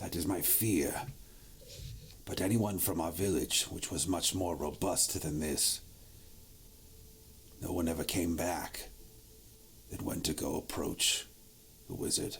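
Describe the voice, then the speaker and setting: A man does a put-on character voice that is raspy, with a very deep, low pitch. He goes at a fairly slow pace with long, frequent pauses, over clear background noise. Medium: actual play. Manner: weary, somber.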